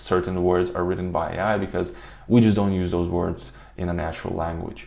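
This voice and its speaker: A man with a non-native accent and a very deep, low pitch talks at a moderate pace with ordinary pitch variation. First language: not English. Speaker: automation tutorial youtuber. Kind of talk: tutorial. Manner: halting, many fillers.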